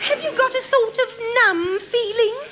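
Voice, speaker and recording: Using a squeaky, put-on character voice, a woman speaks at an extremely high pitch and a moderate pace. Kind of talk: 1950s radio comedy acting. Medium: old radio play. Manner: sweet, refined, fussy.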